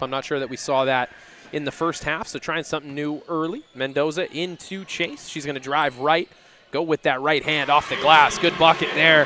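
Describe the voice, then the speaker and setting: A man speaks at a fairly high pitch and a fairly quick pace. His pitch varies in an ordinary way. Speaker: basketball play-by-play commentator. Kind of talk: live sports commentary. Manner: loud.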